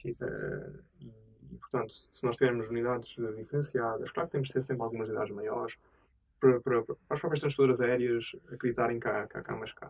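A man talks at a fairly quick pace in a somewhat breathy voice. His intonation stays fairly even. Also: medium pitch for a man, big swings in loudness. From Azores, Portugal. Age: 30s. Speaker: tech entrepreneur. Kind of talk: interview. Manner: hesitant, many fillers.

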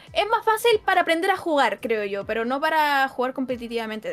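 A woman's fairly quick, lively-toned speech amid noticeable background noise. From Chile, Santiago. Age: 20s. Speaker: esports caster. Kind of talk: casual interview chat.

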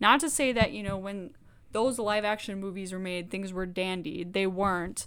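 A woman with a plain, everyday voice and an American accent, medium pitch, ordinary pitch variation and a moderate pace. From US South (Georgia). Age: 20s. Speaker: podcast co-host. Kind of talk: casual chat.

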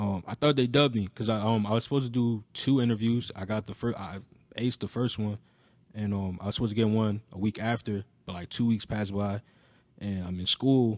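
An unremarkable speaking voice from a man with a fairly low pitch, fairly quick pace and fairly even intonation, dry and close with no echo against a quiet background. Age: 20s. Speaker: music industry intern and brand co-founder. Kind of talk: casual chat. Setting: studio.

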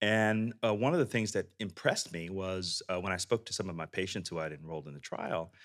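A man with a Texan accent and fairly low pitch speaks at a moderate pace on a very clean recording with a silent background. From Texas. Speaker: biotech CEO and physician. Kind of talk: interview.

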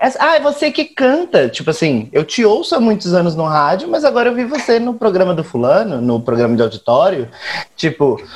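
There is noticeable background noise as a man speaks with very wide pitch swings. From Brazil, Campo Grande (Mato Grosso do Sul). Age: 20s. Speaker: guest discussing television. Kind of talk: casual chat.

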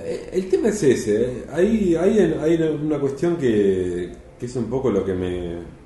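A fairly high-pitched male voice with a Rioplatense accent, very wide pitch swings and a very slow pace, with audible room echo. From Argentina, Mar del Plata. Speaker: film critic. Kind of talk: casual chat.

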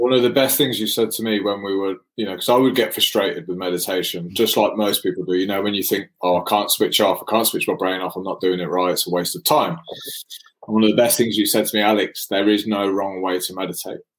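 This man talks at a very fast pace in a fairly low voice with ordinary pitch variation. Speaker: podcast host. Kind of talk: casual chat. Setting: live stream. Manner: casual, laughing.

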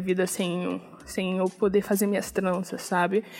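Music behind a woman speaking at a moderate pace. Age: 20s. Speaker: podcast host. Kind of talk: casual solo podcast talk. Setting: recording at home at night.

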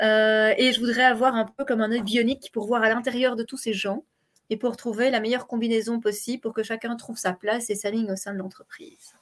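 Talking at a fairly quick pace, a woman speaks in a fairly high pitch. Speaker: business coach and speaker. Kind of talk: interview. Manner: fast.

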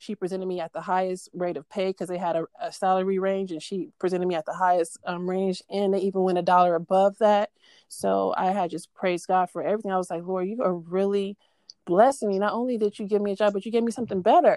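Delivered at a very fast pace with fairly even intonation, the voice has a dark, mellow tone and a dry, close sound with no echo. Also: woman, medium pitch for a woman. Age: 30s. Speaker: guest sharing religious testimony. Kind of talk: testimony.

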